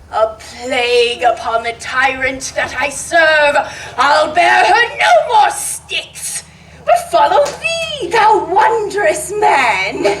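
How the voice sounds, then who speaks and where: In a put-on character voice, a woman speaks at an extremely high pitch and a very slow pace. Background noise is clearly audible. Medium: stage play. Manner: stammering.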